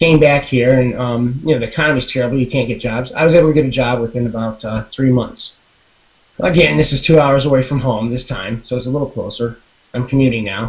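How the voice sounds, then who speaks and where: The man talks at a very fast pace and a medium pitch. His pitch variation is ordinary. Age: 40s. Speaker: webinar participant telling his story. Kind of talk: personal testimony. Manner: halting, many fillers and restarts.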